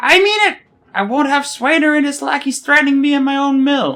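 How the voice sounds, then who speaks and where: This is a put-on character voice with a high pitch. It moves along at a fairly quick pace. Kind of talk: archaic fantasy speech. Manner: threatening, defiant.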